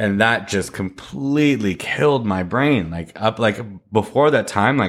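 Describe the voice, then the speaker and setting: The recording is very clean, its background silent. On it, a man talks at a moderate pace. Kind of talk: casual chat. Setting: home recording with microphone. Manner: quiet voice.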